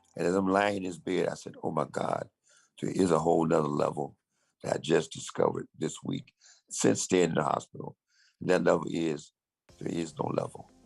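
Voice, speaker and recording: A very deep, low-pitched male voice at a fairly quick pace, with ordinary pitch variation. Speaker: motivational speaker and author. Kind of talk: call-in talk on a group call. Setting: hospital bed.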